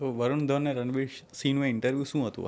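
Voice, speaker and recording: A man at medium pitch with fairly even intonation, in a plain, everyday voice. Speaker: podcast host. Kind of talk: podcast host asking questions, Gujarati mixed with English.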